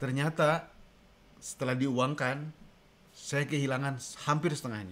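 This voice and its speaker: Here a man speaks at a fairly slow pace. His pitch is fairly high, with ordinary variation. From Indonesia. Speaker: co-host; livestream co-host. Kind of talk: casual live-stream chat. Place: kitchen. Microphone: studio mic.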